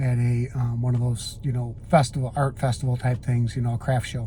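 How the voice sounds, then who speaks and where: At a moderate pace, a man talks at medium pitch. His voice is somewhat breathy and flat in monotone. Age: 60s. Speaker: retirement vlogger. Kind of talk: casual monologue. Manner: halting.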